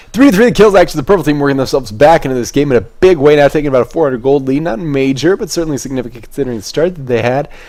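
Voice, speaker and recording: Barely pausing, a man races along at a very fast pace with a fairly high pitch and lively intonation. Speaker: esports caster. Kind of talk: live commentary. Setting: home webcam stream. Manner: stuttering.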